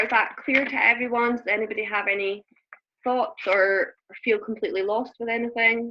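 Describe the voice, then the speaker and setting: In a Scottish accent, a woman talks at a fairly high pitch with ordinary pitch variation. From Scotland. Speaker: network marketing coach. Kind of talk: group coaching call. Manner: fast.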